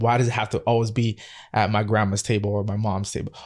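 On a very clean recording with a silent background, a man rattles off words at a very fast pace in a fairly low, monotone, flat voice. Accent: Toronto. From Canada, Toronto (Scarborough). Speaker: chef. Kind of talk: casual interview.

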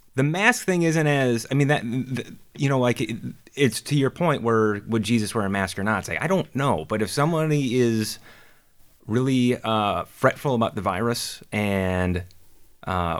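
A man's medium-pitched voice with a Canadian accent and lively intonation. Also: very clean recording, silent background. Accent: Canadian-sounding 'eh'. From Minnesota. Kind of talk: casual chat.

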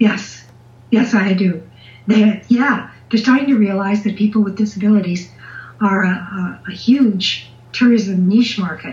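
Somewhat breathy and at medium pitch, a woman speaks at a fairly slow pace with fairly even intonation. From Canada, southern Ontario. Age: 70s. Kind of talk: interview answers, casual chat. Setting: phone or video call.

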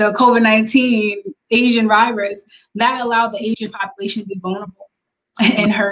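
Speaking in an American accent, a woman delivers flat, monotone intonation at a fairly quick pace and medium pitch, her voice somewhat breathy. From Long Island, New York. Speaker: business consultant and coach. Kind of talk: interview.

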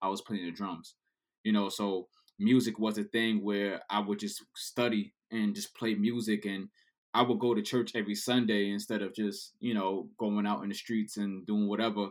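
In a New York accent, a man speaks at a moderate pace with a fairly low pitch and monotone, flat intonation. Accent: New York City. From New York City. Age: 30s. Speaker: DJ. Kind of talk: casual chat.

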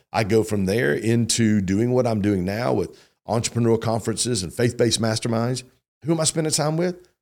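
A man talks at a fairly quick pace in an animated tone. The recording is very clean, with a silent background. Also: medium pitch for a man, ordinary pitch variation. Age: 50s. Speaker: entrepreneur and conference host. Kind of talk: casual interview chat.

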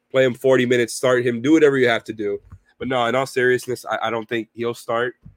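Talking at a very fast pace, a man with a medium pitch keeps a monotone, flat intonation in a dry, close sound with no echo. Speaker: sports podcast co-host. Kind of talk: sports analysis discussion.

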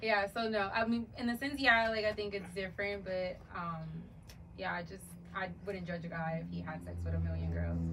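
There is audible room echo and noticeable background noise. A woman talks at a moderate pace. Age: 30s. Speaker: actress and psychology student. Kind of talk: casual chat.

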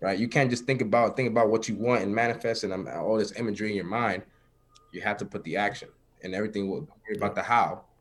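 A man with a fairly low pitch talks at a very fast pace, his intonation fairly even. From New York City (Harlem). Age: 20s. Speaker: entrepreneur, business affiliate. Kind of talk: casual interview chat.

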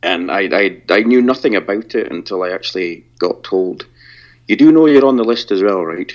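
A man with a Scottish accent speaks at a moderate pace and fairly low pitch, with ordinary pitch variation. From Scotland. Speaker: podcaster. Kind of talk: casual interview.

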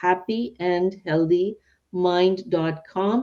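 Her intonation is fairly even and her pitch fairly low. This woman speaks with a non-native accent. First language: not English. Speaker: podcast host and psychiatrist. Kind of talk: interview; scripted outro.

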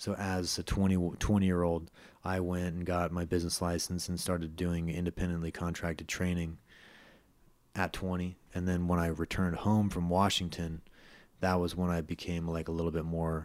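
A man with a very deep, low pitch and a Californian accent, monotone and flat in intonation, at a moderate pace. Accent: Californian American. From US West Coast, San Francisco Bay Area. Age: 30s. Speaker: MMA fighter and personal trainer. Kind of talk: interview.

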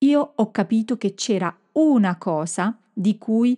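Against a quiet background, a woman speaks at a fairly high pitch, her tone dark and mellow and her intonation lively. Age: 50s. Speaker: communication and marketing coach for professionals. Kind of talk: solo podcast monologue. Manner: hesitant, with filler sounds.

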